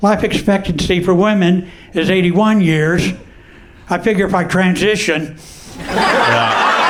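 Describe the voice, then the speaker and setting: Over noticeable background noise and audible room echo, a man talks at a high pitch and a fairly slow pace, with fairly even intonation and very even loudness. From Texas, Houston. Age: 70s. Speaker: comedian. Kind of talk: stand-up.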